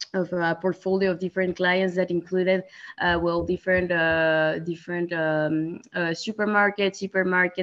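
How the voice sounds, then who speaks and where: A woman's fairly low, monotone voice with flat intonation, in a Spanish accent, at a moderate pace. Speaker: sales manager, alumna. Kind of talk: webinar interview. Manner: halting, many fillers.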